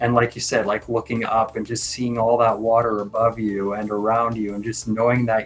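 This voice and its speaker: Over music in the background, a man talks at a medium pitch in a monotone, flat intonation. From Canada. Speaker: freediving expert. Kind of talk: interview answer.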